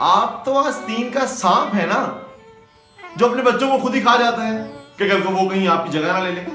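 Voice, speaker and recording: A man speaks with music in the background. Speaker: slam poet. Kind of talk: spoken word poetry performance.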